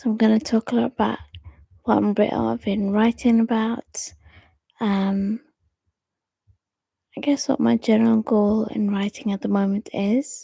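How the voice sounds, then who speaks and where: Soft-spoken, the speaker moves at a moderate pace with long, frequent pauses. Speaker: poet and storyteller. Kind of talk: casual chat. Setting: at home.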